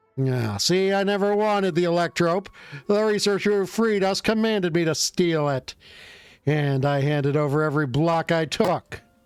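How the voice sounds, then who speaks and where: A gruff, put-on character voice speaks at a moderate pace. Faint music sits in the background. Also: man, high pitch for a man. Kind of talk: gangster slang. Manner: tough, gruff.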